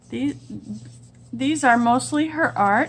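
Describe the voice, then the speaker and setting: The woman's delivery is very slow in pace. There is light background noise. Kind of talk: casual craft show-and-tell. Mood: delighted, warm. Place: home room.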